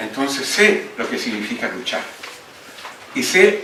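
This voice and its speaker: A man's voice carries audible room echo amid noticeable background noise. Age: 80s+. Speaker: book editor and former politician. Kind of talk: speech at book launch.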